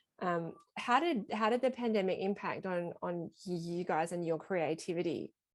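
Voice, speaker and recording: With a strong Australian accent, a woman speaks at a fairly low pitch. Her pace is moderate and her pitch varies in an ordinary way. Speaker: small press publisher and editor. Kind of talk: casual interview on video call. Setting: video call.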